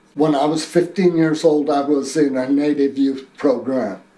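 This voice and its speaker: Noticeable background noise sits behind this man. His pitch is fairly high and his intonation fairly even. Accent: American. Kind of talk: personal testimony. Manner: halting, with fillers.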